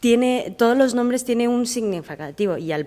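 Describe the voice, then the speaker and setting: A woman with a Chinese accent speaks with ordinary pitch variation. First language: Chinese (speaking Spanish). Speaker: audience member. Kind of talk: audience question. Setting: library event with audience. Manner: halting, many fillers.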